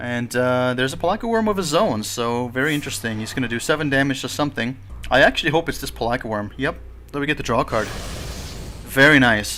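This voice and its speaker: Music in the background behind a man's medium-pitched voice, very fast, with ordinary pitch variation. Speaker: gaming YouTuber. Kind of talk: gameplay commentary.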